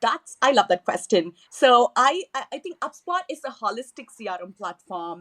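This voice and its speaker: In a Tamil accent, a woman speaks at a moderate pace with lively intonation, the sound dry and close with no echo. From southern India, Chennai. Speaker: email marketing manager. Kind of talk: podcast interview.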